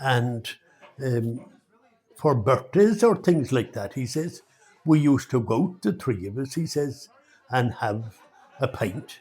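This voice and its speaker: With a northwest Irish accent, a man at medium pitch talks at a fairly slow pace, somewhat breathy, his intonation lively. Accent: Irish, north-west rural. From Ireland. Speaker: storyteller. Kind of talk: traditional folk tale telling. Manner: conversational, unhurried.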